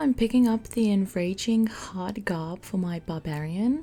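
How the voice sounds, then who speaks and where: A fairly slow pace with a non-native accent. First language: not English. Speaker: gaming video creator. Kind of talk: gameplay commentary. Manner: casual.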